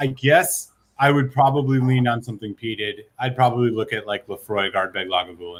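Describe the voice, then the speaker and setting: In an ordinary speaking voice, a man talks at a medium pitch. He keeps a moderate pace with ordinary pitch variation. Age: 30s. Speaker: whisky reviewer. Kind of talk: casual chat.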